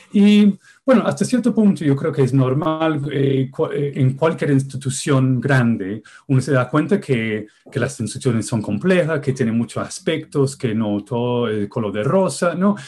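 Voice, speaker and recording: A man with a non-native accent speaks fairly slowly in a dark, mellow tone, somewhat breathy. His pitch sits fairly high and his intonation is lively. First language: not Spanish (speaking Spanish). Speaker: music researcher. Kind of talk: interview. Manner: halting.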